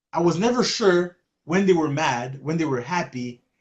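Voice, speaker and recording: A man with a Quebec accent speaks at a high pitch. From Quebec, Canada. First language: French. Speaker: podcast host. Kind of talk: casual chat. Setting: Facebook live stream. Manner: halting.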